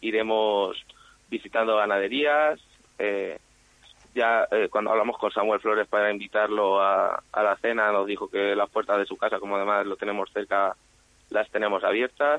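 Speaking at a moderate pace, a man has an ordinary speaking voice, fairly low pitch, and fairly even intonation. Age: 20s. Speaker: bullfighting fan association representative. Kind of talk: radio interview.

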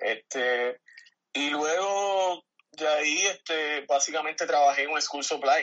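Intonation remains fairly even. Everything is spoken very slowly. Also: man, fairly high pitch for a man. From Puerto Rico, San Germán. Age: 30s. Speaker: retired army veteran. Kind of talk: casual interview. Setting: phone call. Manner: halting.

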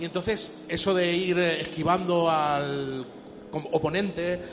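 With audible room echo and noticeable background noise, a man speaks at a high pitch with fairly even intonation. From Chile. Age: 40s. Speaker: museum curator. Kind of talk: casual chat. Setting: arcade museum.

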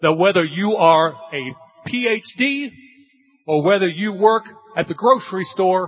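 Lively intonation at a very slow pace. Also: man. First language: English (speaking Spanish). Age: 50s. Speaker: corporate speaker at a sales event. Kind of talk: motivational presentation with live interpretation.

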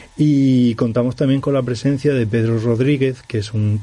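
A man's fairly even intonation over noticeable background noise. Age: 40s. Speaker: musician. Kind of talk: radio interview.

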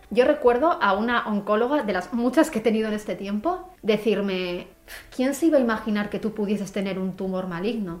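Noticeable background noise sits behind a woman's fairly high voice. She talks at a fairly quick pace with lively intonation. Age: 20s. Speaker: photographer and cancer patient. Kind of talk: interview testimony.

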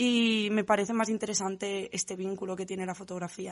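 Here a woman speaks at a moderate pace and a medium pitch. Her intonation is monotone and flat over a quiet background. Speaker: photographer. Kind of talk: interview. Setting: studio.

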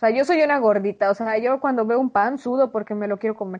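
With an unremarkable speaking voice and ordinary pitch variation, the speaker moves at a fairly quick pace against a quiet background. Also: woman. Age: 20s. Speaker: podcast co-host. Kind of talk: casual chat.

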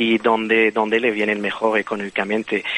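With a Belgian accent, a man speaks at a moderate pace. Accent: Belgian foreign. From Belgium. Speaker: bioengineer. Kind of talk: interview. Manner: hesitant.

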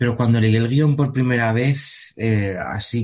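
Against a quiet background, a man talks in a somewhat breathy voice at a medium pitch with ordinary pitch variation. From Spain. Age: 20s. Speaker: actor. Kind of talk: interview. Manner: halting, frequent repetitions and fillers.

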